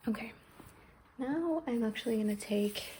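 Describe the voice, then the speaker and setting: Over noticeable background noise, a woman speaks in a calm, gentle tone at a fairly high pitch. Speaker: ASMR creator. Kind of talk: ASMR massage roleplay. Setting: recorded without an external mic, with heater noise in the background. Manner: soft-spoken, calm, gentle.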